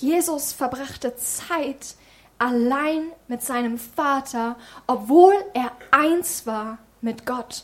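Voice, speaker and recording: A high-pitched woman at a very slow pace. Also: ordinary pitch variation. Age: 20s. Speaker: lay preacher and youth leader. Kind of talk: sermon.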